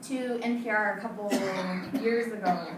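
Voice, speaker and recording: A woman with a fairly high pitch and ordinary pitch variation talks against noticeable background noise. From Navajo. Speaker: storyteller. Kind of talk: live storytelling performance.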